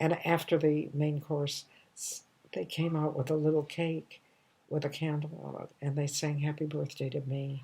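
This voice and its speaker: At a moderate pace, a woman speaks with a very deep, low pitch, a dark, mellow tone, a somewhat breathy quality and monotone, flat intonation, on a very clean recording with a silent background. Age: 80s+. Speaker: comedian. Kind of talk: storytelling monologue. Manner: warm, nostalgic; halting.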